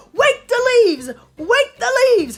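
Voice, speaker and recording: A woman does a put-on character voice with music in the background. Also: fairly slow pace. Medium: read story. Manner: replaces r sounds with w.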